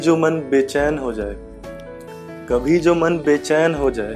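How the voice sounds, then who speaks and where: Music can be heard in the background. Over it, a man talks with ordinary pitch variation. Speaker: poet. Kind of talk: poetry reading.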